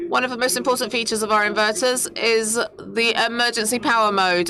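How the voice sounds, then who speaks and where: A woman's voice has a bright, sharp tone, and the room echo is audible. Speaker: company representative presenting products. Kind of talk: conference presentation. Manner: hesitant, many fillers.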